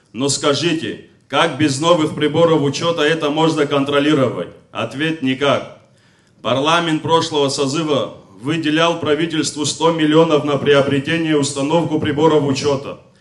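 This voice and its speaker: A man speaks at a moderate pace in a flat monotone. His pitch sits fairly high, over a quiet background. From Abkhazia. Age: young. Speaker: veteran congress speaker; speaker. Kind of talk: public speech. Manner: formal. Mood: critical, accusatory. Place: hall. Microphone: podium.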